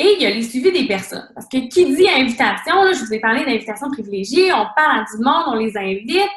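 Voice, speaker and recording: High-pitched woman with a Quebec accent, her pitch swinging very widely, in audible room echo. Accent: Québécois French. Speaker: fitness coach. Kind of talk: team call presentation. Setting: conference call. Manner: fast.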